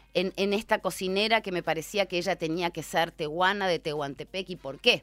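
A woman with a Rioplatense accent, bright and sharp in tone, at a fairly quick pace. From Buenos Aires, Argentina. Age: 50s. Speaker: novelist and journalist. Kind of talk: casual interview.

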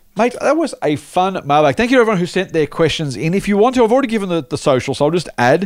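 With an Australian accent, a man talks using very wide swings in pitch. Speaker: investment podcast host. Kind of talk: casual chat.

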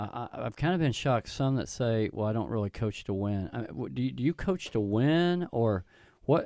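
A man with an Oklahoma accent speaks in a dark, mellow tone with lively intonation, captured in a very clean recording against a silent background. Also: medium pitch for a man, moderate pace. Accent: Oklahoma twang. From Tulsa, Oklahoma. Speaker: pastor, co-host. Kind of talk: radio interview.

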